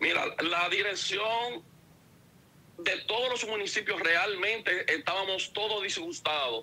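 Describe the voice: The tone is bright and sharp with a slightly husky edge. Speech comes at a fairly slow pace with ordinary pitch variation. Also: man, high pitch for a man.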